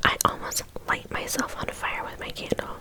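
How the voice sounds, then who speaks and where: A woman whispering in a gentle tone at a moderate pace, with noticeable background noise. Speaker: ASMR creator. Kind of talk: casual talk to camera, mukbang chit chat. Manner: gentle, whispering.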